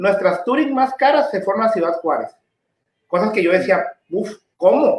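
Lively intonation marks this speaker. He is a man with a high-pitched voice. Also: fairly slow pace. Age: 40s. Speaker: motorcycle dealership manager. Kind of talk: casual interview. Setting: live stream.

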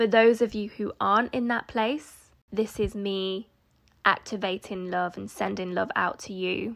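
With a very clean recording and a silent background, a woman in an unremarkable speaking voice talks at a fairly slow pace, her medium pitch held in fairly even intonation. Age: 30s. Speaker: podcast host, self-development coach. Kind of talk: solo podcast monologue. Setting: recording at home.

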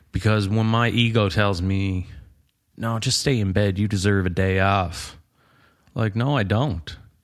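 An unremarkable speaking voice from a man, fairly low in pitch, with fairly even intonation and a fairly slow pace. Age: 30s. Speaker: carpenter and hiker. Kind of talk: casual chat.

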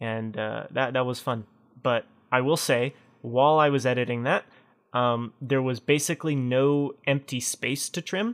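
This man has a plain, everyday voice. He keeps a moderate pace and fairly even intonation. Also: medium pitch for a man. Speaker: podcast host. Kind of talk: casual chat. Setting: video call.

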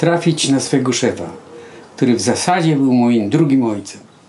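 The speaker is a man. Audible room echo and noticeable background noise accompany him. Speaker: painter. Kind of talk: casual chat. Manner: halting.

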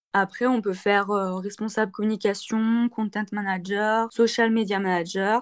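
This woman talks at a fairly slow pace with hardly any pauses. Her medium-pitched voice stays monotone and flat. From France, Saint-Étienne. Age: 20s. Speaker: student. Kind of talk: interview. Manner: hesitant, many fillers.

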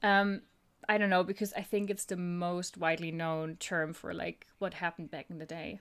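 A woman with a German accent talks at a moderate pace in a fairly low voice with fairly even intonation, recorded very cleanly against a silent background. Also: big swings in loudness. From Germany. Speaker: podcast co-host. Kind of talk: casual chat.

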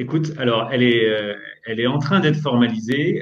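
This man has a normal speaking voice pitched in the medium range. He moves along fairly quickly, and his pitch varies in an ordinary way. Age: 30s. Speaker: startup co-founder and CEO. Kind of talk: interview.

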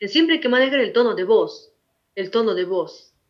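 At a moderate pace, a woman talks with lively intonation in an ordinary speaking voice. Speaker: schoolteacher. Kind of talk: interview.

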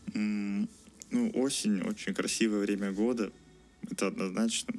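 Music plays in the background as a man speaks at a moderate speed. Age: 20s. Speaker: engineering student. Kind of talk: interview. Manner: halting.

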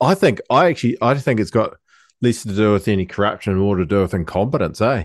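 Against a quiet background, someone with a New Zealand accent talks at a very fast pace, with lively intonation and very even loudness. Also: man, fairly low pitch for a man. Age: 30s. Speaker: podcast co-host. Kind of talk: casual chat. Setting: home studio, video call.

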